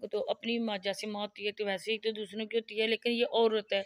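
On a very clean recording with a silent background and a dry, close sound with no echo, a woman speaks at a fairly high pitch. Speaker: vlogger reviewing other channels. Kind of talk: casual commentary vlog.

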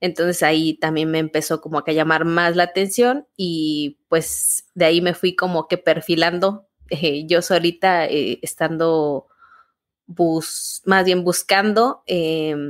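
At a very slow pace, a woman speaks with fairly low pitch and fairly even intonation. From Mexico, Guanajuato. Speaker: theatre artist and university teacher, podcast co-host. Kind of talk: casual interview conversation. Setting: remote call.

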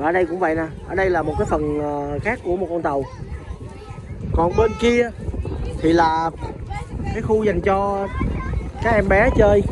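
Speaking at a moderate pace with long, frequent pauses and ordinary pitch variation, the voice sounds dry with no echo against noticeable background noise. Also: man, high pitch for a man. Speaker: family vlogger. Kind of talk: casual vlog chat. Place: beach. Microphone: phone near.

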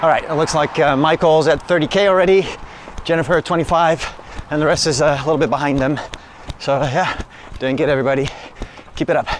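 The intonation stays fairly even throughout. The sound is dry with no echo, over light background noise. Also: man, fairly quick pace. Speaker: runner vlogger. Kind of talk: casual vlog chat. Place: street. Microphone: phone near.

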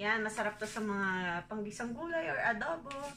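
Over light background noise, a woman speaks at a fairly high pitch with very wide pitch swings. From Philippines. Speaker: vlogger. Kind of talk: grocery haul vlog. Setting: at home. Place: kitchen. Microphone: phone near.

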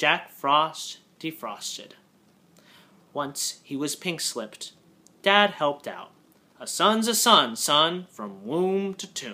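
A man is speaking. His pace is very slow. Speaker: poetry reader. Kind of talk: poetry reading, haiku sequence read aloud. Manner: measured, deliberate, with pauses between haiku. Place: home room. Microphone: webcam.

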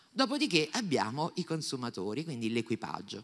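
A woman speaks with a very deep, low pitch. Her pitch swings very widely. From Naples, Italy; Italy. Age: 50s. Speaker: professor of horticulture. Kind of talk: public talk. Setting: stage with audience. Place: classroom. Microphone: handheld.

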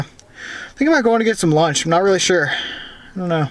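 With an American accent, a man speaks at a moderate pace with ordinary pitch variation in a dry recording with no echo. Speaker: car vlogger. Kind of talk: casual vlog. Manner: halting.

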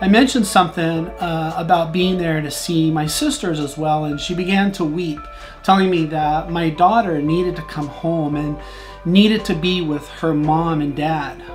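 A man speaks at a moderate pace in a high voice, with clear music playing behind him. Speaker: vlogger. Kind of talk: personal story vlog. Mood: somber, emotional. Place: home room.

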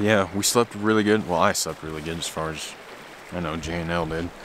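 A man speaks with a very deep, low pitch and fairly even intonation. The sound is dry with no echo, over light background noise. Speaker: backpacking vlogger. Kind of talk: casual vlog chat. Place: waterside. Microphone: phone near.

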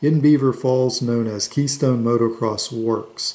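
Fairly even intonation marks this man's dark, mellow tone. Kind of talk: casual reminiscing show-and-tell. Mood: nostalgic, relaxed. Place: home room. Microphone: phone near.

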